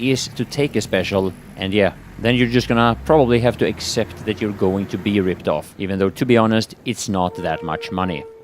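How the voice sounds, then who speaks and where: Noticeable background noise behind a man's fairly low voice. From Sweden. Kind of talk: travel vlog talk to camera.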